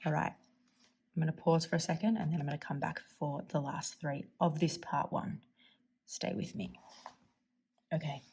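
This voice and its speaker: Her voice sits fairly low, with vocal fry and ordinary pitch variation. This woman talks at a moderate pace, with long, frequent pauses. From Australia. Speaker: fountain pen YouTuber. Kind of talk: casual tutorial-style vlog. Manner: upward inflection at sentence ends.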